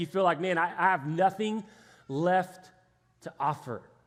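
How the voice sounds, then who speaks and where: A man with an American accent talks at a moderate pace in an animated tone, his pitch varying in an ordinary way. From Texas, Houston area. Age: 30s. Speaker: pastor. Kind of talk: sermon. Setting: church stage with congregation. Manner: animated, conversational.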